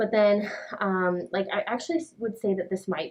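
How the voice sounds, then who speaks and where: Using a plain, everyday voice, a woman at medium pitch talks at a fairly quick pace with ordinary pitch variation. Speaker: brow artist. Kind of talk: client consultation. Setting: in-person session, wearing a mask. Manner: casual, filler-heavy.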